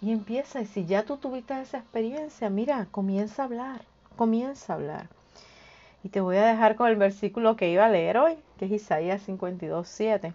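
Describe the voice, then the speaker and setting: At a moderate pace, a woman with an ordinary speaking voice talks at fairly high pitch with ordinary pitch variation. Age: 50s. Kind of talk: devotional talk. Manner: informal, direct address to listener.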